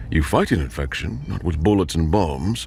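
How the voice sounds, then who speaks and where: A put-on character voice from a man, very deep, low, resonant and soft-spoken, at a moderate pace over clear background noise. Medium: read story. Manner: clinical, detached.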